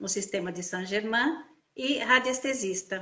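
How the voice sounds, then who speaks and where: A woman speaks in a normal speaking voice. Her pitch is fairly high, with ordinary variation. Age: 60s. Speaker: integrative therapist. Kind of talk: testimony. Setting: Instagram live video call.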